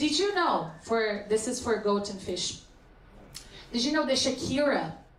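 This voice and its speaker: Amid noticeable background noise and audible room echo, a woman talks at a moderate pace with lively intonation. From Brazil. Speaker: stand-up comedian. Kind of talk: stand-up.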